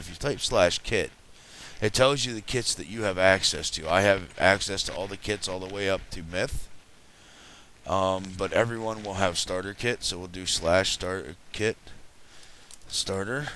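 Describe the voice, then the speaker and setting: There is noticeable background noise as a man talks at a moderate pace with a fairly low pitch. His pitch varies in an ordinary way, and his loudness swings widely. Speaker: gaming video creator. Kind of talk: gameplay commentary. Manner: casual with many fillers.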